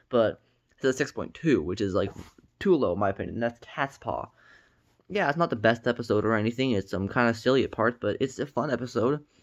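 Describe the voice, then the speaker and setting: A man's medium-pitched voice at a fairly quick pace, with ordinary pitch variation and a quiet background. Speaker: TV reviewer. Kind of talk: casual review monologue. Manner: fast; halting, many fillers and repetitions.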